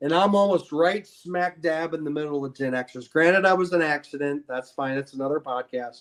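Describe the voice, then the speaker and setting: In a Midwestern US accent, a man talks at a fairly high pitch. His pitch variation is ordinary. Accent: US Midwest. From Ohio, Akron. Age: 50s. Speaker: podcast guest. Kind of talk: casual chat. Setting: live video stream.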